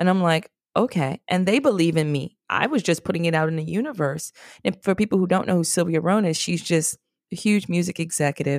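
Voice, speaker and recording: On a very clean recording with a silent background and a dry, close sound with no echo, a woman talks fairly quickly in a New York accent. Her fairly low pitch shows ordinary variation, and her tone is animated. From New York, the Bronx. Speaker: DJ and podcast producer. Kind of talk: interview.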